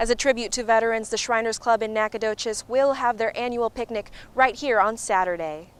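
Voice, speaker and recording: A woman with an unremarkable speaking voice talks at a fairly quick pace in a fairly high pitch, her intonation fairly even, on a very clean recording with a silent background. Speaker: news reporter. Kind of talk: TV news report.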